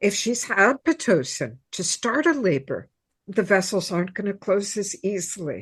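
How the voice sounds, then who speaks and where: Against a quiet background, a somewhat breathy woman speaks at a moderate pace and medium pitch, her voice making very wide pitch swings. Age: 70s. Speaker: birth practitioner, former nurse. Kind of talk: interview.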